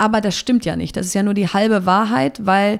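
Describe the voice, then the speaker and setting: Here is a woman with a fairly high pitch. Her voice shows ordinary pitch variation. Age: 30s. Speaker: entrepreneur and company founder. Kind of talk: interview. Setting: in person in Berlin.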